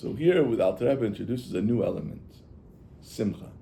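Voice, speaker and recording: With vocal fry, a man talks at a moderate pace. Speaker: rabbi teaching Chassidus. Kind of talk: lecture. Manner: halting.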